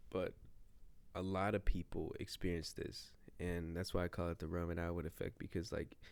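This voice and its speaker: With an American accent, a man talks in a very deep, low pitch and a monotone, flat intonation. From Ohio, US. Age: 20s. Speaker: vlogger. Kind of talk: casual vlog monologue. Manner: filler-heavy, rambling speech.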